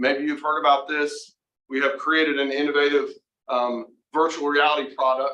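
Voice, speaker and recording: A man speaks in a bright, sharp tone at a fairly high pitch. His intonation is monotone and flat. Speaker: university center director presenting research. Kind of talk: presentation to board meeting. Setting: meeting room with Zoom participants. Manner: fast.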